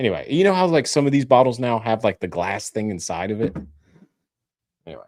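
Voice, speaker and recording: Someone with an American accent talks at a very fast pace with very wide pitch swings and long, frequent pauses. The recording is very clean, with a silent background. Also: man, medium pitch for a man. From Tennessee, outside Nashville. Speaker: whiskey channel co-host. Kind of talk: casual chat. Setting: live stream.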